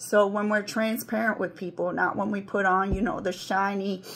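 With audible room echo, a woman speaks at a medium pitch in monotone, flat intonation. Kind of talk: informal sermon.

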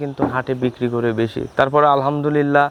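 A man is speaking. Music plays in the background. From Bangladesh, Pabna district. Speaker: cattle seller and shopkeeper. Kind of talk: sales pitch.

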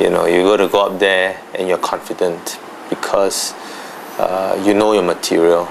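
A man with a very deep, low pitch and monotone, flat intonation, long, frequent pauses, and light background noise. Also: moderate pace. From Singapore. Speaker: interviewee, former debater; interviewee. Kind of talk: interview; interview answer. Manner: halting. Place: home room.

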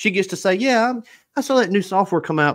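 The man speaks at a fairly quick pace with vocal fry. The background is quiet. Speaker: pressure washing equipment business owner. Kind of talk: casual chat. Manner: animated. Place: home room. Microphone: studio mic.

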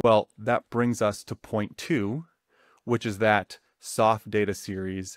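A man's fairly low voice at a very slow pace, dry with no echo, over a quiet background. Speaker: economics educator. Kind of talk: tutorial. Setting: studio recording with slides. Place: home room. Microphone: webcam.

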